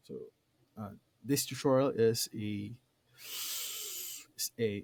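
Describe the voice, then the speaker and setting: A man with a non-native accent speaks very slowly in a dark, mellow tone. The sound is dry and close, without echo. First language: not English. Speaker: tutorial creator. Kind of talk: tutorial. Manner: hesitant, many fillers.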